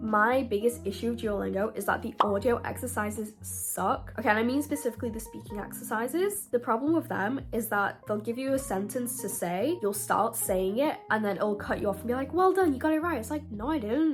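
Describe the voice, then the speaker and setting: A woman with a British accent at a fairly quick pace, hardly any pauses, and music in the background. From UK. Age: 20s. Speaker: university student. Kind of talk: casual talk to camera.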